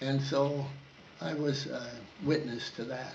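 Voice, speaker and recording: The pitch of this man's voice is fairly high, with ordinary variation. Audible room echo is present. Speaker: war veteran. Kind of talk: oral history interview. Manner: halting.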